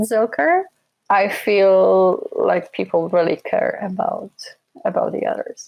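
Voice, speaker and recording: This is a woman speaking. She has a slight Polish accent. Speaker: relocation consultant. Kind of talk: interview.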